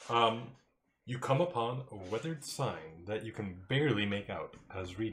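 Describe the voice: Someone does plain reading aloud with a quiet background behind it.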